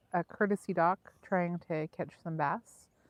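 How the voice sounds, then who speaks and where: An American accent marks this woman's medium-pitched voice, with ordinary pitch variation. The sound is dry and close with no echo. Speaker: fishing livestream co-host. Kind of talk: live stream chat while fishing. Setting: outdoors at a lake.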